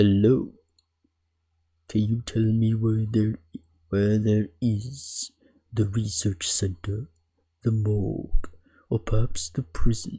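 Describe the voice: A put-on character voice, low in pitch, at a fairly slow pace with long, frequent pauses.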